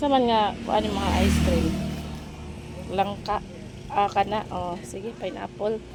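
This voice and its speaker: A woman at medium pitch speaks very slowly with ordinary pitch variation and long, frequent pauses while music plays in the background. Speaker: vlogger, mother. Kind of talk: casual vlog narration.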